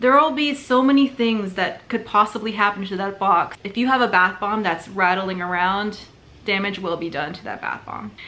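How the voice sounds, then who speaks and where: This voice shows big swings in loudness, ordinary pitch variation and a moderate pace. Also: woman. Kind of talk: tutorial. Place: home room. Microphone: phone near.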